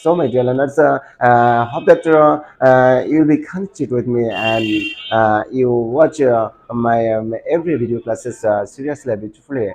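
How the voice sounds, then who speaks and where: A man speaks in a Bangladeshi accent at a moderate pace. His pitch varies in an ordinary way. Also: medium pitch for a man. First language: Bengali. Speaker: English teacher. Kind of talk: tutorial. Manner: halting, many fillers.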